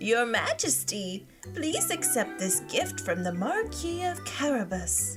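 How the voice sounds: A woman puts on a character voice, fairly high in pitch with very wide pitch swings. She talks at a slow pace over clear music in the background.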